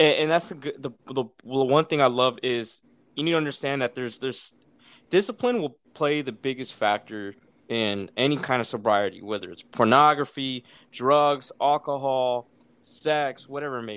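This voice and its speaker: With an ordinary speaking voice, a man talks at a moderate pace and medium pitch with ordinary pitch variation and big swings in loudness, over a quiet background. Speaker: Marine veteran, podcaster. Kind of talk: casual interview chat.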